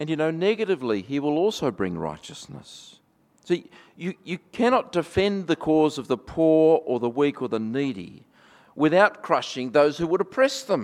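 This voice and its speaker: Over a quiet background, a man with a fairly high pitch and an Australian accent speaks at a moderate pace, his pitch swinging very widely. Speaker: pastor. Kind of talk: sermon. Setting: church. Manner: reflective, conversational, light humor.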